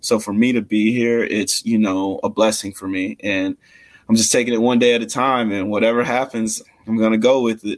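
This man talks at a fairly quick pace in a monotone, with flat intonation. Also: medium pitch for a man. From Mississippi. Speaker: college football player, draft prospect. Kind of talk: interview.

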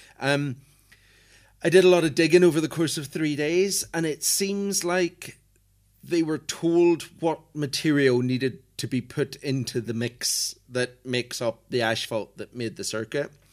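This man has an unremarkable speaking voice, fairly high in pitch with ordinary pitch variation, talking at a fairly slow pace in a very clean recording with a silent background. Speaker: motorsport journalist. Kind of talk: casual chat. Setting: airport hotel in Ireland.

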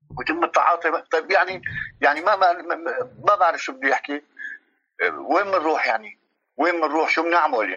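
Long, frequent pauses interrupt an otherwise fairly quick pace. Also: man, high pitch for a man, ordinary pitch variation. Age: 50s. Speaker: refugee. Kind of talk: interview. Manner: halting.

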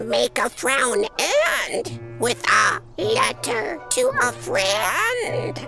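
A put-on character voice with a bright, sharp tone and vocal fry, very wide pitch swings, and a very slow pace, over faint music in the background.

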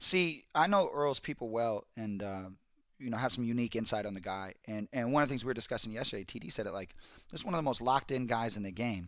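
On a very clean recording with a silent background, a man with an American accent talks at a very fast pace, medium in pitch and lively in intonation. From South Central Los Angeles. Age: 30s. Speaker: NFL insider. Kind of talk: casual chat.

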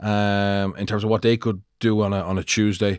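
In a very clean recording with a silent background, a man with an Irish accent speaks at a fairly low pitch with monotone, flat intonation. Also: dry, close sound with no echo. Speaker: former rugby player and coach. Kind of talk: casual chat. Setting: studio.

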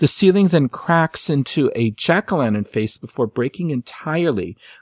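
In a normal speaking voice, a man talks at a moderate pace with lively intonation. The sound is dry and close, with no echo. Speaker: history segment presenter. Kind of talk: poem performed, reading a Christmas story aloud in rhyme. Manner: storyteller cadence, steady sing-song rhyme reading, theatrical; cheerful, playful.

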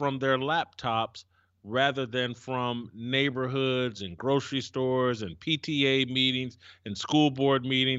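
This is an ordinary speaking voice from a man at medium pitch. He talks at a fairly slow pace with fairly even intonation. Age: 50s. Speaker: cultural commentator. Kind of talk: discussion on race relations.

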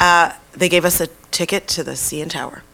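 This woman has a fairly low pitch and fairly even intonation. She talks at a moderate pace over noticeable background noise. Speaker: guest sharing fitness story. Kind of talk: casual chat.

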